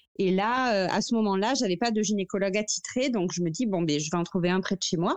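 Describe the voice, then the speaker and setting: Hardly pausing, a woman speaks at a fairly quick pace and medium pitch with very even loudness and ordinary pitch variation. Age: 30s. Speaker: mother sharing fertility story. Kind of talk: testimony. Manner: halting.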